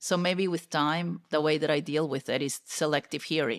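A woman speaks in a Peruvian accent at a very deep, low pitch. The background is quiet. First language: Spanish. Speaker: corporate technology executive; podcast guest. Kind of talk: interview conversation. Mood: candid, reflective. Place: home room. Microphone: studio mic.

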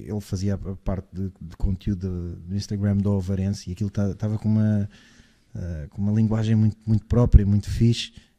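Over a quiet background, a dark, mellow voice speaks at a moderate pace in a monotone, flat intonation. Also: man. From Portugal. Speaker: basketball podcast host. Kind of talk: casual chat. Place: studio. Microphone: studio mic.

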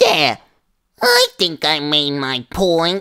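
Middle-pitched, put-on character voice. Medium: dub.

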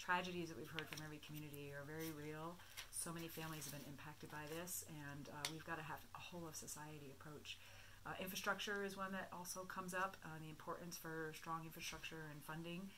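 Through noticeable background noise, a woman with a very deep, low pitch talks at a very fast pace with monotone, flat intonation. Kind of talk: interview answer. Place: meeting room.

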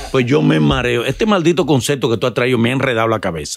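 Light background noise sits behind a man who speaks very fast at a medium pitch, his pitch swinging very widely. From Dominican Republic. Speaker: podcast host. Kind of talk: casual interview chat. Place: studio. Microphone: studio mic.

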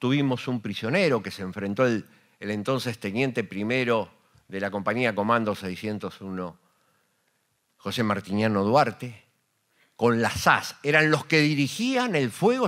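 Against a quiet background, a man talks fairly slowly with ordinary pitch variation. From Argentina. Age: 60s. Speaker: war veteran and radio host. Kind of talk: panel talk. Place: hall. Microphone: handheld.

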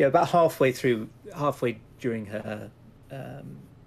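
A natural voice reads the text aloud.

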